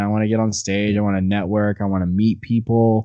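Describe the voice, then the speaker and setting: The man's voice sits at a fairly low pitch. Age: 20s. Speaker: musician in a band. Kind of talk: casual interview chat. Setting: remote video call. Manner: animated.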